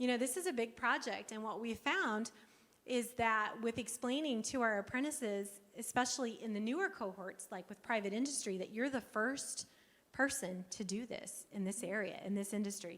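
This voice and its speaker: A normal speaking voice from a woman, pitched fairly high, with ordinary pitch variation and a moderate pace. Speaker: workforce program presenter. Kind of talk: conference presentation.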